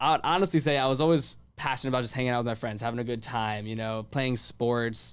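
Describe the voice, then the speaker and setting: Speech in an American accent races along at a very fast pace with hardly any pauses. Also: man, medium pitch for a man, ordinary pitch variation. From Virginia, US. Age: 20s. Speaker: podcast host and events producer. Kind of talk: casual interview. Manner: fast, filler-heavy ('like').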